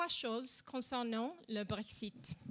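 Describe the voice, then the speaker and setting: A woman's raised, projected voice in an English accent, bright and sharp in tone. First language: English (speaking French). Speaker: political panelist. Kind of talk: conference talk. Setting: conference with live audience.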